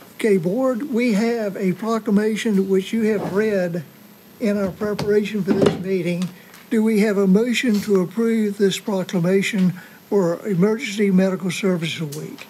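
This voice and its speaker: A high-pitched man at a moderate pace, with light background noise. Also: fairly even intonation. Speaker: county commission chair. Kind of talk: public government meeting. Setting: council chamber meeting. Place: hall. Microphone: podium.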